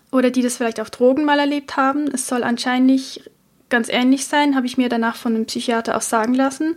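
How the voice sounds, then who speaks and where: Her voice is high-pitched and monotone, with flat intonation. The woman speaks at a fairly quick pace. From Switzerland. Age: 30s. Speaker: podcast host. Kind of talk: personal monologue.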